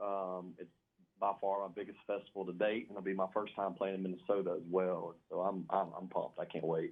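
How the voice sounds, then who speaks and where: A man with a Southern US accent, a fairly low pitch, and a fairly quick pace. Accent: Southern US, noticeable. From Louisiana (West Monroe). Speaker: country singer. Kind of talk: radio interview. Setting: phone call.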